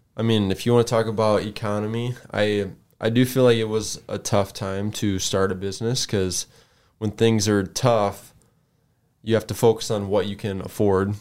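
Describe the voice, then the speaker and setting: The recording is very clean, with a silent background. A man speaks at a moderate pace in a fairly low, monotone, flat voice. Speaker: business owner, former prison worker. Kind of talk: casual interview.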